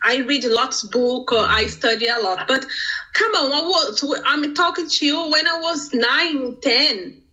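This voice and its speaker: Noticeable background noise sits behind a woman with a Brazilian accent. Her high voice has lively intonation and moves at a fairly slow pace. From Brazil, Sao Paulo. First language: Portuguese. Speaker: business owner. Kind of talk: interview. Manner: animated.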